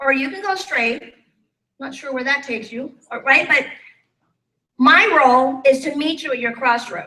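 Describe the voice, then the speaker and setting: Projecting a raised voice in a bright, sharp tone, a woman talks high-pitched at a moderate pace with ordinary pitch variation, big swings in loudness, long, frequent pauses and audible room echo. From Thailand. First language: Thai. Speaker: life and business coach. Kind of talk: motivational talk. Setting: stage with live audience. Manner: animated.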